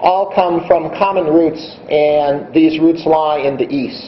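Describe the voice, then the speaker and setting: A man's high-pitched voice, showing ordinary pitch variation, comes through with audible room echo and noticeable background noise. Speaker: invited conference speaker. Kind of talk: conference keynote talk. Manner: deliberately slowed pace; hesitant, many fillers.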